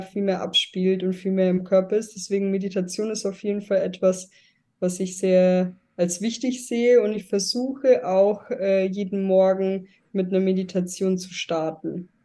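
Dark, mellow tone from a woman at medium pitch, moderate pace and monotone, flat intonation, over a quiet background. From Germany. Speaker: guest, emigrant to Thailand. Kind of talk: interview.

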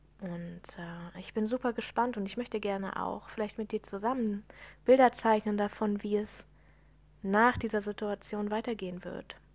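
A woman at a medium pitch speaks at a moderate pace with fairly even intonation and big swings in loudness, on a very clean recording with a silent background. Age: 30s. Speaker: podcast host, spiritual coach. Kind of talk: solo podcast monologue. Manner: unscripted, many fillers.

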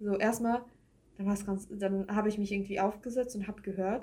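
Here a woman speaks at a medium pitch with monotone, flat intonation. Her tone is dark and mellow, and somewhat breathy. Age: 20s. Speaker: podcast co-host. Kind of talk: casual chat.

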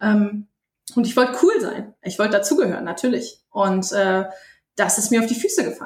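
A woman's fairly high voice, somewhat breathy, with ordinary pitch variation and a moderate pace. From Bremen, northern Germany. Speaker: poetry slammer. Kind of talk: interview.

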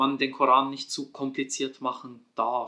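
This man has a bright, sharp tone and a fairly high pitch. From Switzerland. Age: 30s. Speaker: Quran researcher and author. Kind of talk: casual interview on Quran interpretation.

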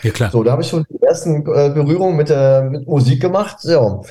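Somewhat breathy with a dark, mellow tone, a man speaks with ordinary pitch variation. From northern Germany, near Hamburg (Pinneberg district). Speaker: DJ and music producer. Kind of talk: interview. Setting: video call.

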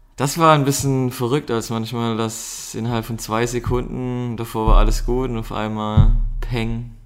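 Audible room echo surrounds a man's voice. He talks fairly slowly in a flat monotone. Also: medium pitch for a man. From Baden, southwest Germany. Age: 30s. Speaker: amateur strength athlete, host's partner. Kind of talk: casual chat.

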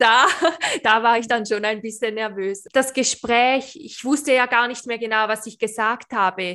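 A woman speaks at a fairly high pitch in a bright, sharp tone, keeping fairly even intonation despite big swings in loudness. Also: fairly slow pace, very clean recording, silent background. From Switzerland. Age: 20s. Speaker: beautician and awareness coach. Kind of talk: interview, personal testimony.

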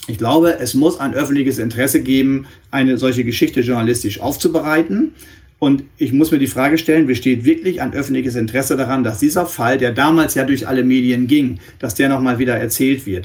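A man's plain, everyday voice at medium pitch, with ordinary pitch variation and a fairly quick pace. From northwestern Germany. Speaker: press spokesman and journalist for a victim support organisation. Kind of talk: interview.

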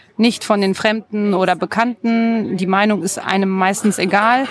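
Noticeable background noise sits behind a woman's voice. She speaks at a fairly slow pace with fairly even intonation. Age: 30s. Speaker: blogger and mother. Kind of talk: interview.

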